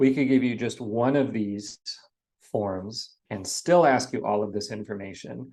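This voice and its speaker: Against a quiet background, a man with a medium pitch speaks at a fairly slow pace with ordinary pitch variation. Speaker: math teacher. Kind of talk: recorded lecture.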